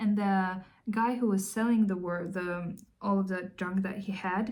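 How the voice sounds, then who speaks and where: A woman's somewhat breathy voice with a non-native accent. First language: not English. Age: 30s. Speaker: artist. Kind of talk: casual chat. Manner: halting.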